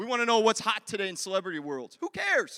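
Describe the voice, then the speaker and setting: This man speaks in a high pitch with an animated tone. His voice is raised and projected, and his pace is fairly quick. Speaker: pastor. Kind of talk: sermon. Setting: church.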